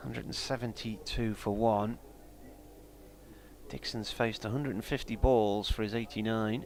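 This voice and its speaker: Speaking with a Sunderland accent at a moderate pace, the voice keeps fairly even intonation and leaves long, frequent pauses. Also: man, medium pitch for a man. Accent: Mackem (Sunderland). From northeast England, South Tyneside. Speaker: cricket radio commentator. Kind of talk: live commentary. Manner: casual, conversational.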